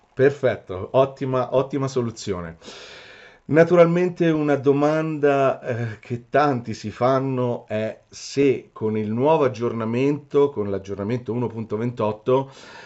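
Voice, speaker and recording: The speaker has an Italian accent and a moderate pace. Pitch varies in an ordinary way. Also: man, medium pitch for a man. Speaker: metal detector shop owner and interviewer. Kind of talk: interview. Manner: halting.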